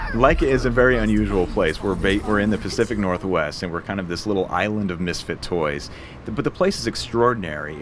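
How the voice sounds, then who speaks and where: Noticeable background noise sits behind a man with a fairly low pitch. He speaks at a very fast pace with lively intonation. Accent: American. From Portland, Oregon. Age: 40s. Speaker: animation studio CEO and film director. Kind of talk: interview answer.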